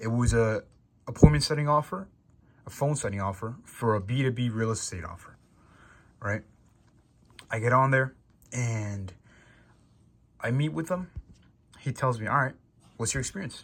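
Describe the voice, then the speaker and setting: Somewhat breathy and with lively intonation, a man speaks with long, frequent pauses. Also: medium pitch for a man, moderate pace. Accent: American. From New York. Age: young. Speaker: salesperson. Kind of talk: casual vlog monologue. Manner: casual.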